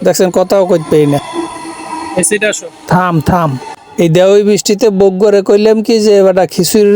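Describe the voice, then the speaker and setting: This man has a high pitch and speaks with a Barisal accent. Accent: Barishal dialect Bengali. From Barishal, Bangladesh. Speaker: vlogger. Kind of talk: casual vlog in regional dialect. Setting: metro train and station. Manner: animated.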